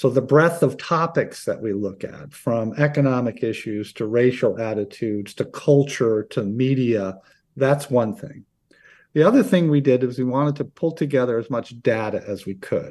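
A man with an unremarkable speaking voice and an American accent, medium in pitch with ordinary pitch variation, at a moderate pace, against a quiet background. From upstate New York (Oneonta). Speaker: political science professor. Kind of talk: interview.

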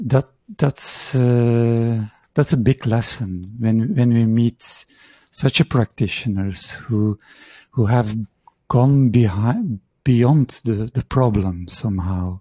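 A man with a Dutch accent speaks at a very slow pace in a medium pitch with ordinary pitch variation and a dark, mellow tone. The very clean recording has a dry, close sound with no echo and a silent background. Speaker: shiatsu practitioner and teacher. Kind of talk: interview conversation. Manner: halting.

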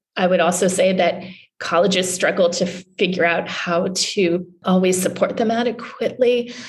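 This woman has an ordinary speaking voice at medium pitch, talking at a moderate pace with fairly even intonation and very even loudness. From Newfoundland, Canada. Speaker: journalist. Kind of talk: interview.

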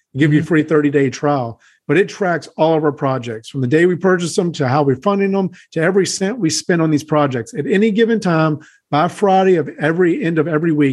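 Very fast speech from a man at a fairly high pitch, with ordinary pitch variation. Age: 30s. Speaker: house flipper and real estate investor. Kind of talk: interview.

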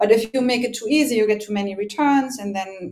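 A woman speaks with a German accent and ordinary pitch variation. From Germany. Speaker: logistics tech executive. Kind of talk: interview.

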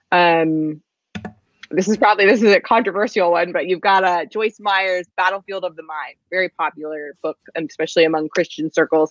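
An unremarkable speaking voice comes from a woman with a fairly low pitch. She keeps a moderate pace and fairly even intonation. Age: 20s. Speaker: novelist. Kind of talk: interview.

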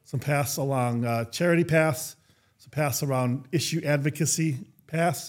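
Speaking slowly in an unremarkable speaking voice, a man with a fairly high pitch keeps fairly even intonation but shows big swings in loudness. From Minnesota. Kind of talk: interview.

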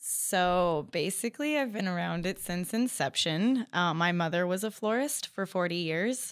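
Lively intonation and a moderate pace carry this Californian accent through a very clean recording with a silent background. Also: woman, medium pitch for a woman. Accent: Californian American. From US West Coast (Bakersfield, California). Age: 30s. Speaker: floral designer. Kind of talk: interview.

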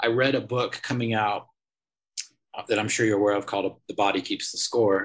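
Speaking at a fairly quick pace with long, frequent pauses, a man holds a medium pitch in a monotone, flat intonation. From England. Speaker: nonprofit founder. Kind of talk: interview. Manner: halting.

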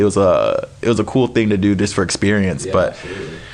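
Noticeable background noise sits under a man who speaks very fast. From US Midwest, Wisconsin (Appleton). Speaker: magician and comedian. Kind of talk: casual chat.

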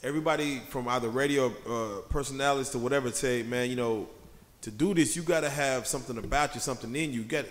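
With a normal speaking voice, a man talks at a fairly quick pace at medium pitch, showing ordinary pitch variation. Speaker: interviewer, podcast co-host. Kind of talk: casual interview chat.

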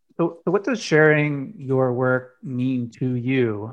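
Medium in pitch with ordinary pitch variation, a man speaks in an ordinary speaking voice. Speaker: podcast host. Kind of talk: interview conversation. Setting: video call.

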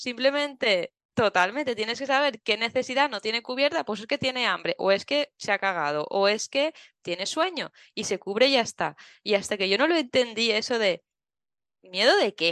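A normal speaking voice moves at a moderate pace with lively intonation. The sound is dry and close with no echo, over a quiet background. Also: woman, fairly high pitch for a woman. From Valencia, Spain. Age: 30s. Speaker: travel blogger and mother. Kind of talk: casual interview chat.

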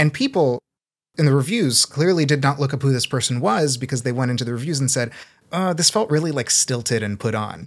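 With a General American accent, a normal speaking voice moves at a fairly quick pace with ordinary pitch variation on a very clean recording with a silent background. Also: man, fairly high pitch for a man. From US Pacific Northwest. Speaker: audiobook narrator. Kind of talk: casual panel discussion.

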